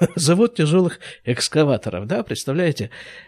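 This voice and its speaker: A man's voice with a dry, close sound and no echo. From former Soviet Union. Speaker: podcast host, physician. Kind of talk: reading aloud own old letters with commentary.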